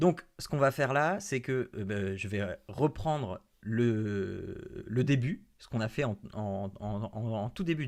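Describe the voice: Someone reads aloud plainly.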